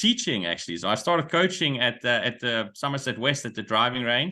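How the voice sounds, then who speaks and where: Here a man speaks with a Dutch accent. His pitch sits in the medium range. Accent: Dutch accent, picked up in South Africa. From Netherlands. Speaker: golf coach and business consultant. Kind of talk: webinar presentation. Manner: hesitant, with frequent fillers and repeats.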